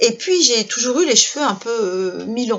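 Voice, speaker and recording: At a fairly slow pace with ordinary pitch variation, the voice comes through noticeable background noise. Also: woman. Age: 60s. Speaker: life coach and workshop leader. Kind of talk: casual video talk to viewers. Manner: halting, many fillers.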